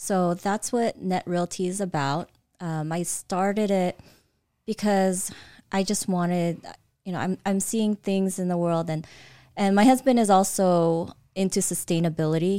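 In an American accent, a woman with an ordinary speaking voice talks at a moderate pace and medium pitch with fairly even intonation. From Southern California, US (from age 6, born Philippines). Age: 40s. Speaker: real estate entrepreneur. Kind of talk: casual interview.

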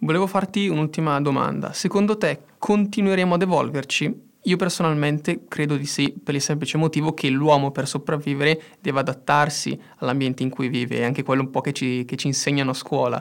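A man's plain, everyday voice, fairly high in pitch, with ordinary pitch variation at a fairly quick pace in a very clean recording with a silent background. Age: 20s. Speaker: engineering student, podcast co-host. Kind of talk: casual educational chat.

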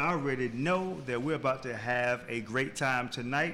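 He has a plain, everyday voice. The man's pitch variation is ordinary, and his pace moderate. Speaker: radio host. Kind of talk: radio show hosting with ads and interview.

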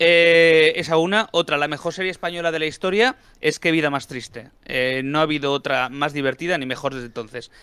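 The voice has a bright, sharp tone and moves at a fairly quick pace with ordinary pitch variation. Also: man, fairly high pitch for a man. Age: older than 29. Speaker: film and comics commentator. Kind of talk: casual chat.

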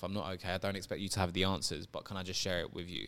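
A man with a fairly low pitch and a London accent on a very clean recording with a silent background. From England, London. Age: 30s. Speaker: guest. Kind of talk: casual interview.

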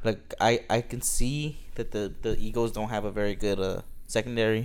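A normal speaking voice carries ordinary pitch variation. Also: man. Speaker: sports podcast co-host. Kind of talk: casual chat.

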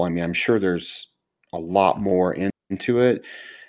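A man with an American accent, fairly low pitch and lively intonation at a moderate pace, on a very clean recording with a silent background. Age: 50s. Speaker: podcast host and pastor. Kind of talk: casual interview.

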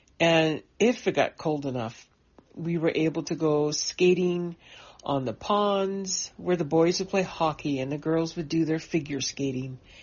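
A woman speaks with ordinary pitch variation. It is an unremarkable speaking voice. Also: fairly low pitch for a woman, fairly slow pace. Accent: Canadian. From British Columbia coast, Canada. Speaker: writer. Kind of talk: personal memoir, told aloud. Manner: warm, nostalgic.

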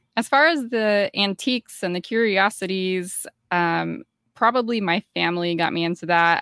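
In a very clean recording with a silent background, a woman with an American accent talks at a fairly slow pace. Her tone is bright and sharp, with ordinary pitch variation. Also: dry, close sound with no echo. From US South, Georgia. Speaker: podcaster. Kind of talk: casual chat.

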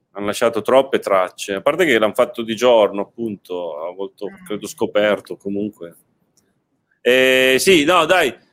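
At a moderate pace, a man speaks with lively intonation at medium pitch. He takes long, frequent pauses. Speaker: podcast host. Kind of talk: casual chat. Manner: talkative.

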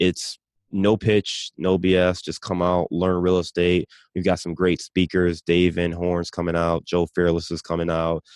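Speaking slowly in a Midwestern US accent, a man uses a very deep, low pitch and monotone, flat intonation. The sound is dry and close with no echo, over a quiet background. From Cleveland, Ohio. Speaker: real estate investor. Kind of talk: interview.

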